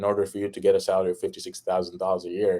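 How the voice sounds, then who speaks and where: On a very clean recording with a silent background, a man speaks in an Arabic accent. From Egypt. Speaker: fitness and life insurance entrepreneur. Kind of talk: podcast interview. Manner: animated.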